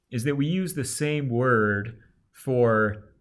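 You can hear echo from the room. The voice belongs to a man. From Alabama. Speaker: podcast co-host. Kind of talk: casual chat. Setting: remote internet call.

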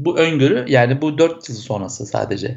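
A man speaks in a fairly high pitch. His voice is somewhat breathy. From Turkey, Izmir. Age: 40s. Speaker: software entrepreneur and cycling advocate. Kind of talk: interview.

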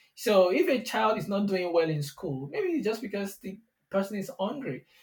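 A man speaks with a Nigerian accent. His pace is fairly quick. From southwestern Nigeria. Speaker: software engineer, tech company CTO. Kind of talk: interview conversation. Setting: studio.

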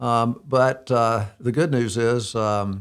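A man with an Alabama accent speaks with fairly even intonation. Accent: Southern US (Alabama). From US South, Birmingham, Alabama. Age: 60s. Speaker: ministry director and counselor to businessmen. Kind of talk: interview, telling life story. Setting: studio.

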